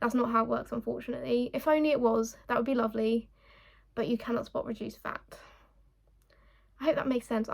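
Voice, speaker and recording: In a put-on, raspy character voice, a woman speaks at a very fast pace with a fairly high pitch, fairly even intonation, and long, frequent pauses. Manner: fast and a bit jumbled.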